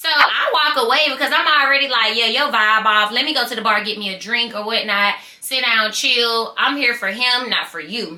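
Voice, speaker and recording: Over noticeable background noise, a woman speaks at a high pitch in an animated tone with hardly any pauses. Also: ordinary pitch variation, moderate pace. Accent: Southern US. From US South, small-town Georgia. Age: 20s. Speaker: YouTuber telling stories. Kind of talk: storytime vlog.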